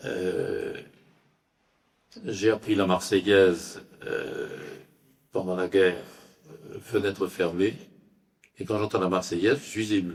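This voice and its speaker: Speaking at a very slow pace, a man leaves long, frequent pauses while his loudness swings widely. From France. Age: 80s+. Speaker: lecturer. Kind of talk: Q&A answer after lecture. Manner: halting, many hesitations.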